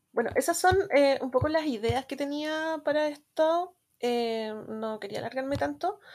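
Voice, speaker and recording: Her voice high in pitch, a woman talks at a fairly slow pace. Her pitch variation is ordinary. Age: 30s. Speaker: guest fan. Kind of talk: casual chat.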